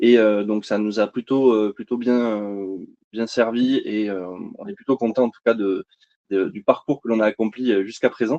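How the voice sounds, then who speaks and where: Medium-pitched male voice in a slight southern French accent, dark and mellow, with big swings in loudness at a moderate pace. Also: dry, close sound with no echo. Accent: slight sing-song southern French. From southern France, Montpellier. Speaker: energy company sales representative. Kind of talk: webinar presentation. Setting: online webinar. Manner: hesitant, many fillers.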